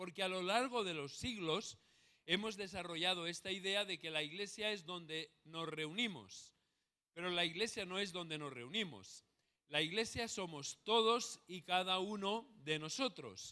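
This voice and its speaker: A man with a Spanish accent speaks at a high pitch in a bright, sharp tone. He goes at a fairly slow pace with ordinary pitch variation. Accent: Spanish (Spain). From Spain. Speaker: pastor. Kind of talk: sermon.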